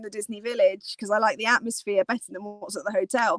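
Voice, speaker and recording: Dry and close with no echo, a woman's voice comes across in an animated tone. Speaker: Disney travel vlogger. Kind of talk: live stream chat.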